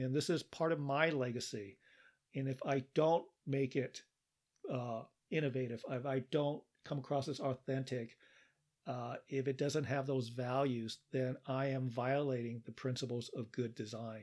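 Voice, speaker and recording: In a plain, everyday voice, a man of medium pitch speaks at a fairly slow pace with fairly even intonation, on a very clean recording with a silent background. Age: 60s. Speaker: podcast host. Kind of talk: solo podcast monologue. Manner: measured, with frequent fillers.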